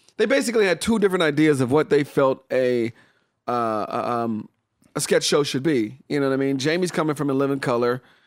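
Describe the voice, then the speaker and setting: This man has an unremarkable speaking voice, fairly high in pitch for a man, with lively intonation and a fairly quick pace, recorded very cleanly over a silent background. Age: 40s. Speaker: comedian and writer. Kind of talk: casual chat. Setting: studio.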